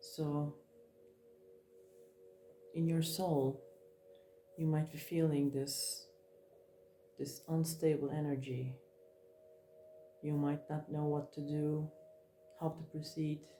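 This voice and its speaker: Long, frequent pauses break up very slow speech with fairly even intonation. Background noise is noticeable. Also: woman, very deep, low pitch for a woman. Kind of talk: tarot card reading. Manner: mellow, slow-paced; calm, reflective.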